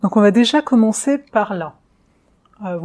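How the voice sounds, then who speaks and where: A woman's dark, mellow tone at a fairly slow pace. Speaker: astrologer. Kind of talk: astrology forecast video. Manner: hesitant fillers.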